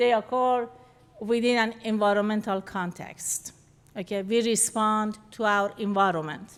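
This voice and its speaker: Using fairly even intonation, a woman with a fairly high pitch speaks at a fairly slow pace. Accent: non-native. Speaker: behavior analyst presenter. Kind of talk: lecture. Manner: halting, self-correcting.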